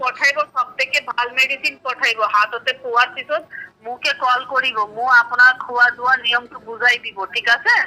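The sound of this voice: A woman speaks at a fairly quick pace with a bright, sharp tone. Her intonation stays fairly even. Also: fairly high pitch for a woman, few pauses.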